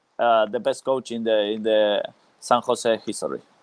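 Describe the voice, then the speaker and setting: A man with a non-native accent at a moderate pace. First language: Spanish. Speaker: former professional footballer. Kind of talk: interview. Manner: halting, many hesitations.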